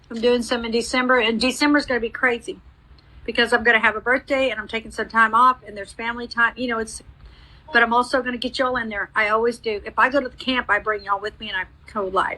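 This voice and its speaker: Very fast and fairly high-pitched, a woman talks with fairly even intonation, a bright, sharp tone and big swings in loudness. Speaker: psychic medium. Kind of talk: live mediumship reading.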